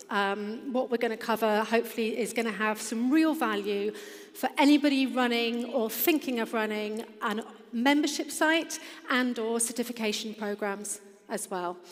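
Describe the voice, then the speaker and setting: Against noticeable background noise, a woman with an English accent speaks at a fairly high pitch with ordinary pitch variation. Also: moderate pace. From England. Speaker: fitness business founder. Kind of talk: conference presentation. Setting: stage with audience.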